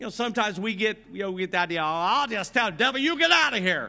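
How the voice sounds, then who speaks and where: A man with an American accent speaks at a very fast pace in a high, bright, sharp voice. He projects loudly, with very wide pitch swings. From US Midwest, Grant County, Indiana. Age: 50s. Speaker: pastor. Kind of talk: sermon. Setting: church. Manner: animated.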